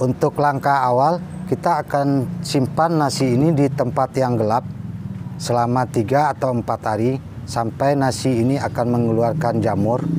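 A man speaks at a moderate pace with very even loudness and ordinary pitch variation. Noticeable background noise runs underneath. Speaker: home gardening vlogger. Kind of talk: tutorial. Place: garden. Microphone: phone near.

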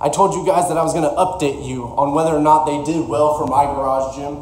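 A man at a moderate pace with ordinary pitch variation, audible room echo, and music in the background. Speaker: fitness vlogger. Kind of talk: casual vlog chat. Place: garage. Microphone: camera far.

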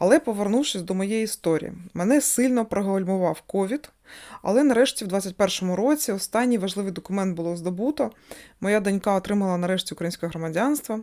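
A woman with a Russian accent speaks at a fairly quick pace in a dark, mellow, medium-pitched voice with ordinary pitch variation, on a very clean recording with a silent background. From Kyiv, Ukraine, Russian-speaking family. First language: Russian (speaking Ukrainian). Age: 40s. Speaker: astrologer, video blogger. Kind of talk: personal monologue to camera.

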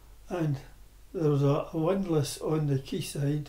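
Somewhat breathy and dark, mellow in tone, a man with a Scottish accent speaks at a moderate pace, his fairly high pitch in fairly even intonation. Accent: Scottish (Ayrshire). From Scotland, Irvine, Ayrshire. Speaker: oral history interviewee. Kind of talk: reminiscence. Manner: halting.

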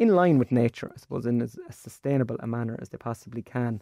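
Speaking at a fairly quick pace with an Irish accent, a man has a medium-pitched voice, a dark, mellow tone and a dry, close sound with no echo. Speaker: radio presenter of a farming show. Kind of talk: radio interview. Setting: studio.

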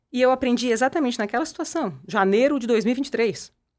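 Her intonation lively, a woman talks in a high voice. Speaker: personal development coach and entrepreneur; personal development coach. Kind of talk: casual interview. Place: studio. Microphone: studio mic.

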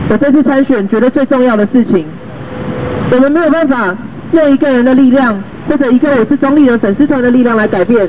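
With very even loudness and ordinary pitch variation, a man talks at an extremely high pitch and a fairly quick pace over light background noise. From Taiwan, Zhongli (Taoyuan); Taiwan. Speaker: local council candidate; council candidate. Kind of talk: campaign street speech. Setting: outdoors at train station, raised platform. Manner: impassioned. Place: street. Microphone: camera far.

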